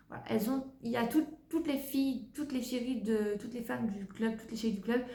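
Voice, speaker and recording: A woman speaks with a fairly high pitch. Noticeable background noise and audible room echo fill the recording. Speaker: book reviewer. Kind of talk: casual book review vlog.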